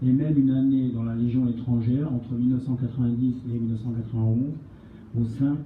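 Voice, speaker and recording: Speech comes at a fairly quick pace in a flat monotone, with noticeable background noise and audible room echo. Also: man. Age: 60s. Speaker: retired army officer, association representative. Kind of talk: prepared speech at a public meeting. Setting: meeting with audience.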